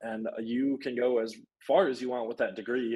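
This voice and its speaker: Dark, mellow male voice at medium pitch, with an American accent, over a quiet background. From Michigan, Traverse City; Michigan. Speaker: university student; panelist. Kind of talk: live Q&A panel. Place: home room. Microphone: video call.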